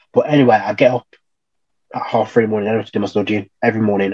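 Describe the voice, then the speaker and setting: Very fast speech from a man with a Birmingham accent, fairly even intonation, and dry, close sound with no echo. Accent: Birmingham (Brummie). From Birmingham, England. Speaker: electrical trainee. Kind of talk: casual interview. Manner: halting.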